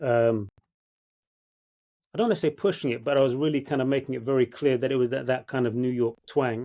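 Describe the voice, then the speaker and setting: In a London accent, a man with a medium pitch and a dark, mellow tone speaks at a fairly quick pace with ordinary pitch variation on a very clean recording with a silent background. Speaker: actor. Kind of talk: casual chat.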